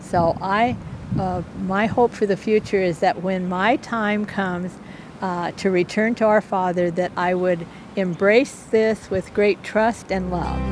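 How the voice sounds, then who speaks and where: A woman's medium-pitched, fairly slow speech with fairly even intonation and noticeable background noise. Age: 80s+. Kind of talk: interview testimony. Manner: hesitant, many fillers.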